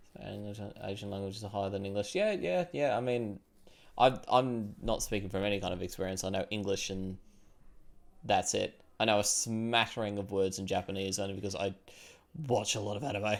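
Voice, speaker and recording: A man with an Australian accent speaks at a fairly low pitch and fairly quick pace with fairly even intonation, recorded very cleanly against a silent background. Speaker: streamer. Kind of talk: casual chat. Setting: live stream.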